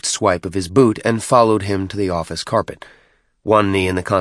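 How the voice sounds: A natural reading voice with fairly even intonation over a quiet background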